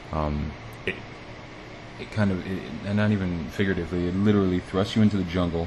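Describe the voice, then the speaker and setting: A man with an American accent speaks in a very deep, low voice, keeping a fairly even intonation and leaving long, frequent pauses over noticeable background noise. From United States. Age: 30s. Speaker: podcast host. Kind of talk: solo podcast monologue.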